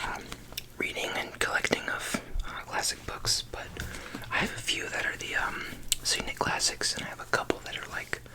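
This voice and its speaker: Whispering with noticeable background noise. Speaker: ASMR creator. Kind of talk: ASMR whisper talk to camera. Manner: whispered.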